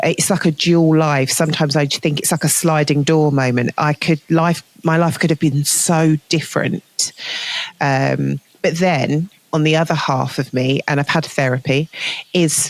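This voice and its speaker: In a southern English accent, a woman with a very deep, low pitch talks at a moderate pace, her intonation fairly even and her loudness very even, in a dry, close sound with no echo. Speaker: healthcare manager. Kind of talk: interview conversation. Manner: hesitant, filler-heavy.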